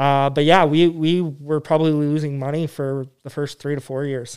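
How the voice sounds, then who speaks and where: In a Canadian accent, a man with a plain, everyday voice speaks at a fairly quick pace and fairly high pitch with fairly even intonation. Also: very clean recording, silent background. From Yukon, Canada. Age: 30s. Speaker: gym owner. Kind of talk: casual chat.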